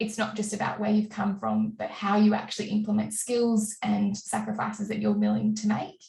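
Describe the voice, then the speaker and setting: With an Australian accent, a woman speaks at a fairly high pitch. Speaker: diplomat. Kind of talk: panel presentation. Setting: webinar.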